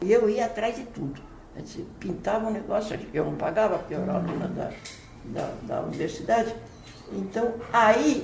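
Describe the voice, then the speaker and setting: Amid noticeable background noise and audible room echo, a woman speaks at a moderate pace and medium pitch with ordinary pitch variation. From Brazil, São Paulo. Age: 80s+. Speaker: playwright and poet. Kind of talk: interview. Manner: halting, frequent repetitions.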